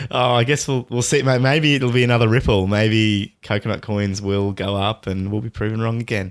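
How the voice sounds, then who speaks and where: Talking at a fairly quick pace with hardly any pauses, a man speaks at a medium pitch. The recording is very clean, with a silent background. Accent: Australian. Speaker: podcast co-host. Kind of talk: casual chat. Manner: animated.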